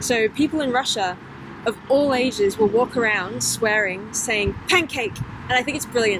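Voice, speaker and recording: Over noticeable background noise, a woman with an East Midlands accent speaks at a moderate pace and a fairly high pitch. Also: ordinary pitch variation. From England, Lincolnshire (Boston). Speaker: women's football player. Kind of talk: interview. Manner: hesitant, lots of fillers.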